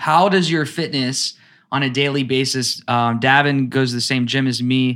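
A man speaks in a normal speaking voice at a medium pitch and moderate pace. His intonation is fairly even, on a very clean recording with a silent background. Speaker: podcast host, acting coach. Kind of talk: casual interview.

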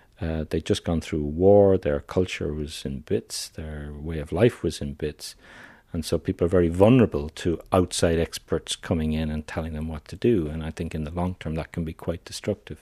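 An Irish-accented man speaks at a moderate pace in a dark, mellow tone with a very deep, low pitch and fairly even intonation, the sound dry and close with no echo on a very clean recording with a silent background. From Ireland. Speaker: psychiatrist. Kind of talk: interview.

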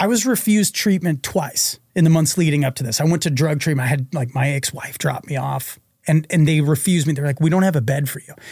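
A man's fairly high, somewhat breathy voice at a very fast pace, with ordinary pitch variation and hardly any pauses. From Massachusetts, Reading (Boston suburbs). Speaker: former psychiatric patient and author. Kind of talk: interview storytelling.

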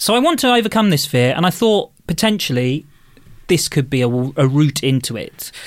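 A fairly high-pitched man with an English accent, very wide pitch swings and a fairly quick pace, on a very clean recording with a silent background. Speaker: podcast contributor. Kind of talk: casual chat.

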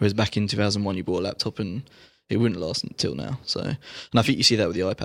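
Very fast speech from a man, fairly low in pitch and ordinary in pitch variation, captured on a very clean recording against a silent background. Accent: British. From United Kingdom. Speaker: tech journalist. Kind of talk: casual chat. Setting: studio.

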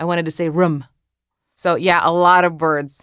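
In a Croatian accent, a woman talks at a fairly quick pace with a fairly low pitch. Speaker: author and social media creator. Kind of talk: interview answers and reading aloud from memoir.

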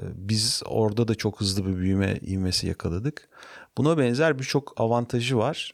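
A man with a plain, everyday voice speaks at medium pitch and a moderate pace, with ordinary pitch variation and very even loudness, in a very clean recording with a silent background. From Turkey, Ankara. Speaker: startup founder and CEO. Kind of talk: interview.

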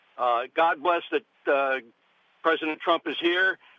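A man speaks in a normal speaking voice at a fairly high pitch. His intonation stays fairly even. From upstate New York. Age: 60s. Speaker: dentist. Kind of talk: radio call-in. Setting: phone call.

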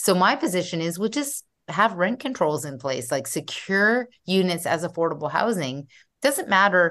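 Against a quiet background, a woman with a Canadian accent talks at a moderate pace with very wide pitch swings. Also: medium pitch for a woman. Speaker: urban planner and developer. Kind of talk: interview.

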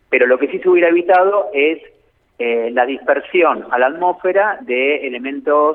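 A man's fairly high voice moves through ordinary pitch variation as he talks at a moderate speed. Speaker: nuclear energy expert. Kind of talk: phone interview. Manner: halting, many fillers.

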